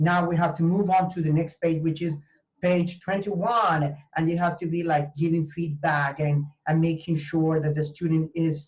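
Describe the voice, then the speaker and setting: With a Spanish accent, the words come at a moderate pace. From Venezuela. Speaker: language teacher and university professor. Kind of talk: interview conversation. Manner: halting, with fillers and repetitions.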